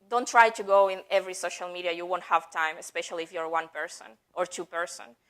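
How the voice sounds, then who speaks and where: A woman is heard. She speaks in a non-native accent. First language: not English. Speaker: head of marketing at a software company, conference speaker. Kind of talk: conference talk.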